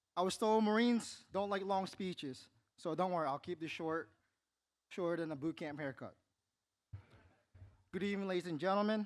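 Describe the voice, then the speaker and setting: A man with a non-native accent speaks at a high pitch and a fairly quick pace, with ordinary pitch variation and long, frequent pauses. The recording is very clean with a silent background. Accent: noticeable non-native. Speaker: award recipient, police officer and Marine veteran. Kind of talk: acceptance speech.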